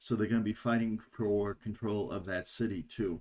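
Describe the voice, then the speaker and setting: At a moderate pace, a man speaks in a fairly low pitch with an unremarkable speaking voice. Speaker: board game video host. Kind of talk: tutorial.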